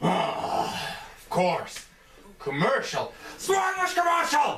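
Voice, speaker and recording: In a put-on character voice, a man talks at an extremely high pitch. His pace is very slow. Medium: comedy sketch. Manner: casual, sarcastic.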